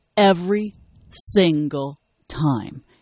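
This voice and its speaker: A woman speaks in a dark, mellow tone. Her intonation is lively. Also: dry, close sound with no echo. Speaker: comedian, actor and radio personality. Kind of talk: casual chat.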